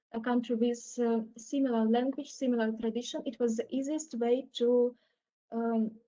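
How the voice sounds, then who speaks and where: A woman's high-pitched voice, dark and mellow in tone, with monotone, flat intonation. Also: moderate pace. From Ukraine, Kyiv. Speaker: panel speaker. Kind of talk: personal testimony.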